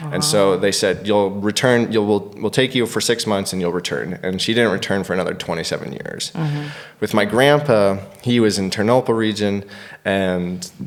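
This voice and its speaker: A man talks at a fairly low pitch and a moderate pace with ordinary pitch variation. Noticeable background noise runs beneath him. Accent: American. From United States. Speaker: stand-up comedian. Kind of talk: podcast interview answer.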